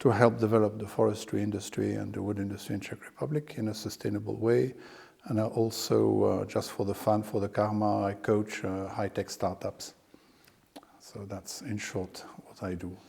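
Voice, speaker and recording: At a moderate pace, a man with a fairly low pitch speaks in a dark, mellow tone with vocal fry and fairly even intonation. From France. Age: 60s. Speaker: landowner and financier. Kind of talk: interview. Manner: hesitant, many fillers.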